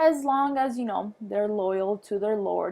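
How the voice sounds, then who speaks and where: A woman speaks with a non-native accent at a medium pitch. Her tone is dark and mellow. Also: very clean recording, silent background. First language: not English. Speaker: history teacher. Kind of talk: lecture. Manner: halting, many fillers.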